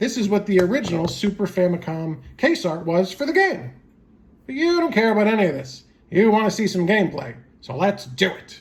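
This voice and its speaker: A cartoonish character voice sits at a middle pitch. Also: fairly quick pace. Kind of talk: casual talk to camera. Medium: puppet.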